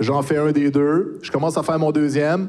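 A man's fairly high-pitched voice, a normal speaking voice. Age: 40s. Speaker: YouTuber and streamer. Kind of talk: casual chat.

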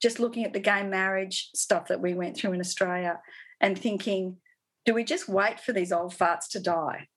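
Using a normal speaking voice, a woman talks at a moderate pace. Her pitch is medium, with ordinary pitch variation. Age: 50s. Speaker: artist and sustainability educator. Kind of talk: interview.

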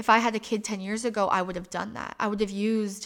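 A woman with an American accent speaks at a fairly quick pace and a medium pitch. Her intonation is a flat monotone, on a very clean recording with a silent background. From Michigan, US Midwest. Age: 30s. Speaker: podcast host. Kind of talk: personal monologue.

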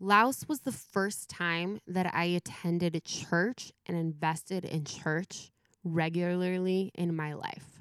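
A woman with an American accent, fairly low in pitch, at a very slow pace with fairly even intonation and hardly any pauses. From Southern California. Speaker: youth pastor. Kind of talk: casual interview. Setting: remote call from home.

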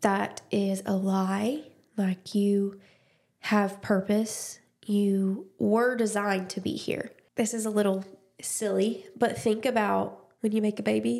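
A woman with an Alabama accent speaks at a very slow pace. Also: medium pitch for a woman, ordinary pitch variation. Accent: Southern US (Alabama). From US South, Dothan, Alabama. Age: 20s. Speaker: podcast host. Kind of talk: casual chat, personal testimony.

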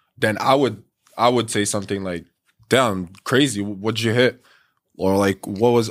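Using a plain, everyday voice, a man talks at a fairly quick pace. His pitch is fairly low, with ordinary variation. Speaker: podcast co-host. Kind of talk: casual chat.

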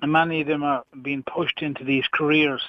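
With an Irish accent, a man speaks at a moderate pace in a fairly high pitch and a monotone, flat intonation. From Ireland. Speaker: radio caller. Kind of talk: heated call-in debate. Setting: phone call.

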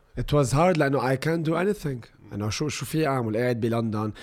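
A man speaks with an Arabic accent and lively intonation. The recording is very clean, with a silent background. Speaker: social media influencer. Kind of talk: casual chat.

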